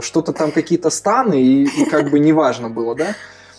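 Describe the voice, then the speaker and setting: A man speaks over noticeable background noise. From Kazakhstan. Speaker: education center founder. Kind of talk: casual interview.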